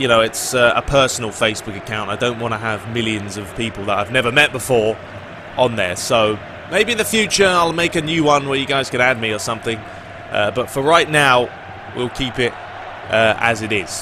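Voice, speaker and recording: Noticeable background noise sits behind a man speaking at a fairly quick pace. His pitch is medium, with ordinary variation. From Britain. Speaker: gaming YouTuber. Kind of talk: casual Q&A commentary. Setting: video with facecam. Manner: casual, with fillers.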